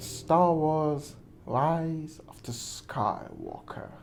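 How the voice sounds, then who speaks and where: In a room with audible echo, a man with a non-native accent speaks at a fairly high pitch. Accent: non-native English, weird pronunciations. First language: not English. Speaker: movie reviewer, vlogger. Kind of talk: casual monologue, film commentary. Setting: at home during quarantine.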